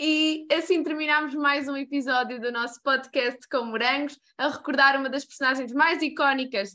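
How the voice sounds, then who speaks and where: A woman speaks in a raised, projected voice at a high pitch, with ordinary pitch variation and a moderate pace. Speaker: podcast host. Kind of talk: interview.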